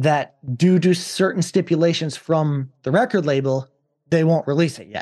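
A man with a fairly high pitch speaks at a moderate pace in an American accent, his tone dark and mellow. His loudness swings widely while his pitch varies in an ordinary way, over a quiet background. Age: 20s. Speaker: podcast host and metal vocalist. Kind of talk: casual chat.

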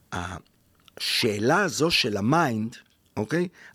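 On a very clean recording with a silent background, a man speaks at a fairly slow pace with lively intonation. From Israel, Jaffa. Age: 50s. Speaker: spiritual mentor and workshop leader. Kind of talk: interview. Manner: halting, many fillers.

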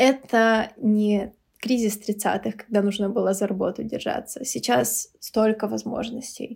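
In a somewhat breathy voice, the speaker talks at a very slow pace with monotone, flat intonation on a very clean recording with a silent background. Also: woman, fairly high pitch for a woman. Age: 30s. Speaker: teacher. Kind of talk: casual chat. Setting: at home over food and drinks.

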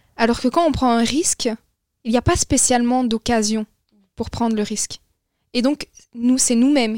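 Recorded dry and close with no echo, a woman with a fairly high pitch speaks at a fairly slow pace. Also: long, frequent pauses. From Belgium. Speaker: young discussion participant. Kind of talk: casual philosophical discussion.

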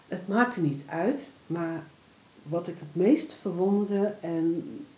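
With audible room echo, a woman speaks very slowly at a medium pitch with ordinary pitch variation. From Netherlands, Deventer (Overijssel). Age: 50s. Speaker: photographer and prevention worker. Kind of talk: interview.

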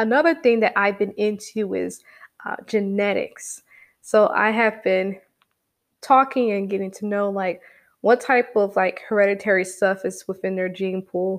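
With an unremarkable speaking voice, a woman of medium pitch talks at a moderate pace. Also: ordinary pitch variation. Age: 20s. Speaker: solo podcast host. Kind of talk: casual monologue. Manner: chatty, conversational.

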